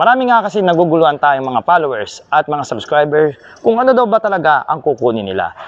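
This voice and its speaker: This man talks very fast, his voice fairly high. His pitch swings very widely. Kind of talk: product review.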